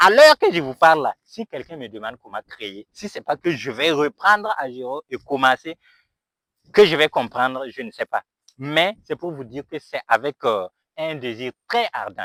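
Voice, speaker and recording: A man with a Burkinabè accent speaks fairly slowly at a fairly high pitch, his tone bright and sharp, with long, frequent pauses and big swings in loudness. The recording is very clean with a silent background and a dry, close sound with no echo. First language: Mooré (speaking French). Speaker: YouTuber and dry-cleaning business owner. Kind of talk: motivational vlog. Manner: halting.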